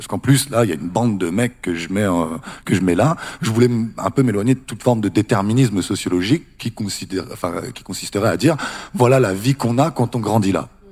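A man with a normal speaking voice talks at a medium pitch. His pace is fairly quick and his intonation lively. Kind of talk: panel discussion.

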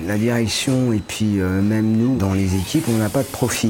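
Noticeable background noise sits under the recording. A man speaks at a medium pitch. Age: 50s. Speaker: factory line operator. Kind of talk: interview.

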